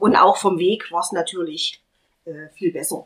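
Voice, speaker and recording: Her intonation lively, a woman speaks at a fairly slow pace. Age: 40s. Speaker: patient sharing fertility treatment experience. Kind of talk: casual group conversation, personal testimony.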